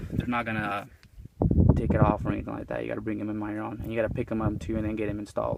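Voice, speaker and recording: A man speaks in a Mexican accent at a medium pitch. His intonation is flat and monotone. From Mexico. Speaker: car owner video reviewer. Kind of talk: casual walkaround car review. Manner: casual, with frequent hesitations.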